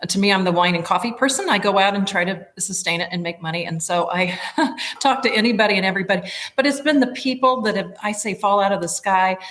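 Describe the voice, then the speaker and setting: A woman talks at a very fast pace over noticeable background noise. Her voice sits at a medium pitch with ordinary pitch variation. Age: 60s. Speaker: nonprofit executive director. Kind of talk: interview conversation. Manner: halting.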